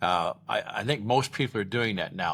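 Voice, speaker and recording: A plain, everyday voice from a man with an American accent, fairly low in pitch at a moderate pace, on a very clean recording with a silent background. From Iowa. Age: 60s. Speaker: vlogger, retired ex-cop. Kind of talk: casual vlog monologue.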